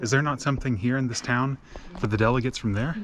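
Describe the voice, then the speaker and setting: There is noticeable background noise. Over it, a man talks with an American accent. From United States. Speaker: travel vlogger. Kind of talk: travel vlog narration. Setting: outdoors at a hilltop temple. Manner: casual, conversational.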